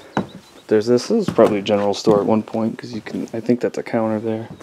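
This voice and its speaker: Noticeable background noise behind a man's fairly low, monotone, flat voice at a fairly quick pace. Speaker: travel vlogger. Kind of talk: casual walkthrough narration. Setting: outdoors. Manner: relaxed, hesitant with fillers.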